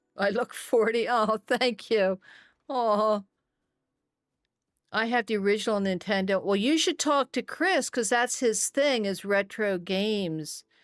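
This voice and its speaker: A woman with an unremarkable speaking voice talks at a fairly slow pace, her fairly high pitch showing ordinary pitch variation and very even loudness. The recording is very clean with a silent background and a dry, close sound with no echo. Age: 60s. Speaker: gaming streamer. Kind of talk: casual live-stream chat while gaming.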